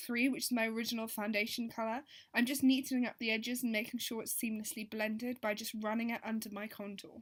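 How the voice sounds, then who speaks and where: The speaker has an English accent and a fairly quick pace. Intonation stays fairly even. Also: woman. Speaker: beauty vlogger. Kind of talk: voiceover tutorial. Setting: voiceover recording.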